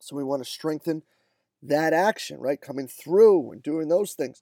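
On a very clean recording with a silent background, a man's dark, mellow voice comes through dry and close with no echo. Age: 30s. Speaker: strength and conditioning coach. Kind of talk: monologue commentary. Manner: casual, conversational with fillers.

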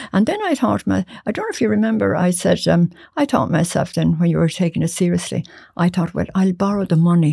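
A woman with an Irish accent, fairly quick pace, very even loudness. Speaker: musician's mother. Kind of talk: casual chat. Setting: studio.

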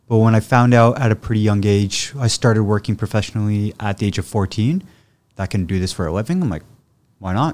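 Heard in a very clean recording with a silent background and a dry, close sound without echo, a man with a Canadian accent uses a plain, everyday voice, fairly low in pitch with ordinary variation, at a fairly quick pace. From Ottawa, Canada. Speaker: chef. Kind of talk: casual interview chat.

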